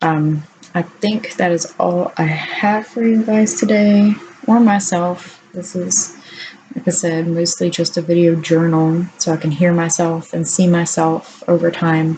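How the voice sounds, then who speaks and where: A woman talks fairly slowly, keeping her intonation fairly even, while noticeable background noise carries on behind her. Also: fairly low pitch for a woman. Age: 30s. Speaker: vlogger. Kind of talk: video diary.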